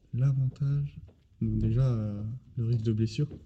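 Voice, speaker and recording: Somewhat breathy and dark, mellow in tone, this man's voice sits at a medium pitch with fairly even intonation. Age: 20s. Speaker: fitness coach and bodybuilder. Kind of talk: casual chat. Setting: gym.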